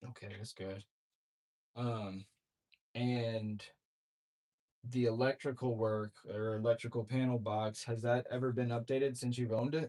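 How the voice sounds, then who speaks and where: A man talks at a medium pitch in a dark, mellow tone. His intonation is monotone and flat, with long, frequent pauses. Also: moderate pace. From Louisiana. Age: 20s. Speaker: real estate wholesaler cold-calling sellers. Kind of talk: sales phone call.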